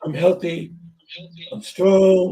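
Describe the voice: A raspy, high-pitched man's voice, dark and mellow in tone, with little pitch movement and a very slow pace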